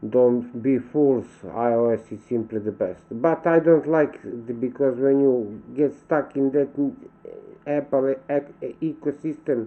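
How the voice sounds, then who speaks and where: In a Serbian accent, a man speaks at a very slow pace. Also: medium pitch for a man, ordinary pitch variation. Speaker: vlogger. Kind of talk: casual monologue vlog. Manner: halting, with self-corrections.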